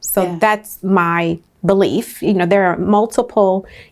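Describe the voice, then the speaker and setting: An ordinary speaking voice with an American accent, fairly even intonation and a fairly slow pace. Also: woman. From San Francisco, California. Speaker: emergency medicine physician. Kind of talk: interview answer.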